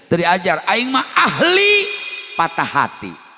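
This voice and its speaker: A man talks in an animated tone. Noticeable background noise can be heard. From West Java, Sundanese (Cimande, Bogor). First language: Sundanese (speaking Indonesian). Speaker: Islamic preacher. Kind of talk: humorous sermon.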